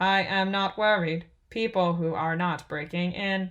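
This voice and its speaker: In a put-on character voice, a female-sounding speaker holds a medium pitch. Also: moderate pace. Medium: read story. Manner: formal, oddly cheerful.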